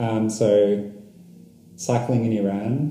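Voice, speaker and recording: A man with an Australian accent speaks at a fairly low pitch with fairly even intonation, amid noticeable background noise and audible room echo. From Australia, Melbourne. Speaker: long-distance cyclist. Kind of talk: casual interview. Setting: in person, San Cristobal.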